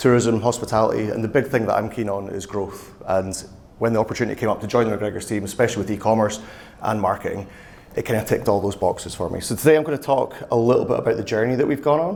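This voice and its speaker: Through noticeable background noise and audible room echo, a man with a Scottish accent talks at a very fast pace and medium pitch, with ordinary pitch variation. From Scotland. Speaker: e-commerce and marketing manager. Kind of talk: conference talk. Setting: stage with audience.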